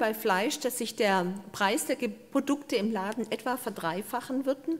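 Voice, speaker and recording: Talking at a fairly slow pace, a woman uses a fairly high pitch. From Swabian Alb, southern Germany; Baden-Württemberg, Germany. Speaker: biodiversity researcher and professor; professor. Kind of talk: lecture. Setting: stage with audience. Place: hall. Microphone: handheld.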